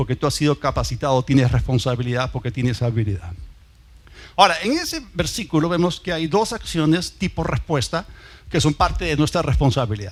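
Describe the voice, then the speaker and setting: At a fairly quick pace, a man with a fairly high pitch and vocal fry speaks with lively intonation. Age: 60s. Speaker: pastor. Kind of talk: sermon.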